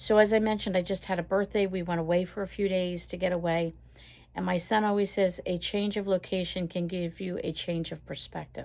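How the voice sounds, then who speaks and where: Her pitch medium and her intonation monotone and flat, a woman speaks at a fairly quick pace. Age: 60s. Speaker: lifestyle vlogger and caregiver. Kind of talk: casual chat. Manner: conversational, with filler words.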